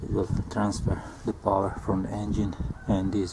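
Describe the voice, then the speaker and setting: Fairly slow speech over loud background noise. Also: man. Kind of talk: tutorial. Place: garden. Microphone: phone near.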